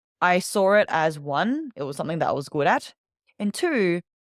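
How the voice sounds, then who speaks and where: In an Australian accent, a woman speaks at medium pitch and a moderate pace, her tone animated. The sound is dry and close with no echo, on a very clean recording with a silent background. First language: Vietnamese. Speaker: public speaking coach. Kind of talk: interview storytelling.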